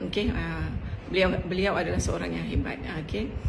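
Noticeable background noise can be heard. Through it comes a woman's voice. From Malaysia. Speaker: school principal. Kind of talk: welcome speech. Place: home room. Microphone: video call.

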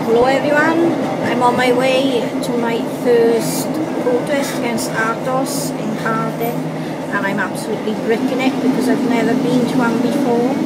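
Loud background noise fills the recording. The talking proceeds at a moderate pace. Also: woman. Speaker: first-time protester. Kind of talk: casual talk to camera. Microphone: phone near.

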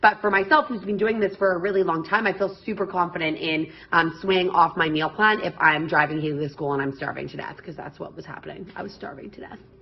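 Talking very fast with hardly any pauses, a woman uses a fairly low pitch, ordinary pitch variation and big swings in loudness. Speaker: fitness coach. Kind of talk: casual vlog chat. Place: home room. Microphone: phone near.

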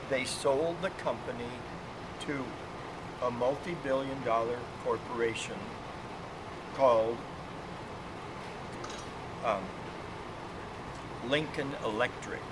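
A man talks at a fairly slow pace, with long, frequent pauses and ordinary pitch variation. Loud background noise runs underneath. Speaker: product representative trainer. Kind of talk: lecture. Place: workshop. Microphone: phone near.

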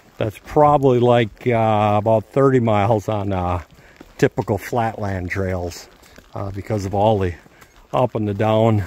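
A man with an unremarkable speaking voice, fairly low in pitch, at a fairly slow pace with ordinary pitch variation, in a dry sound with no echo. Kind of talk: casual vlog chat. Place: forest. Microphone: phone near.

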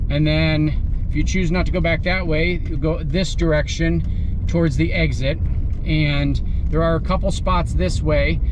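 There is noticeable background noise as a man talks, the sound dry with no echo. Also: very even loudness. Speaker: campsite reviewer driving. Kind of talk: tour narration. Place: car. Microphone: phone near.

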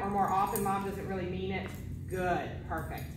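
A woman is speaking. Clear background noise and audible room echo surround her voice.

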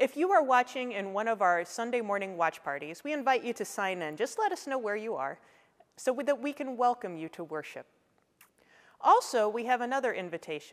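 This woman speaks at a fairly quick tempo, and the background remains quiet. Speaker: pastor. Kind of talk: worship welcome and announcements. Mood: warm, welcoming. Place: church.

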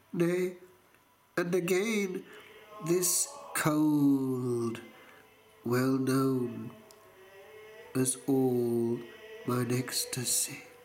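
Speech comes at a very slow pace in a solemn tone, broken by long, frequent pauses. Noticeable background noise runs underneath. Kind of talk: poetry reading, spoken word. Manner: slow, solemn, contemplative; reflective, measured, reverent.

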